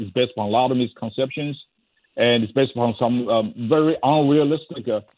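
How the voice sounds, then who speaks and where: A man with a Chinese accent, medium pitch, ordinary pitch variation and a fairly quick pace. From China. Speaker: former government advisor and history professor. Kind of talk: radio interview. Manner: halting, many fillers.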